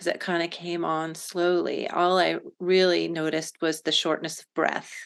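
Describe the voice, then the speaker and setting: A woman with an unremarkable speaking voice talks at a fairly slow pace, her pitch fairly low, against a quiet background. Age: 60s. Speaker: patient. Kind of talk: testimony.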